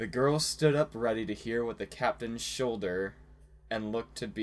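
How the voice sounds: Natural reading voice, ordinary in pitch variation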